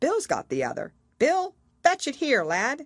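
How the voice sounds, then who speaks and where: A woman speaks at a moderate pace in a put-on character voice, her pitch swinging very widely over a quiet background. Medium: read story. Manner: rustic, bickering.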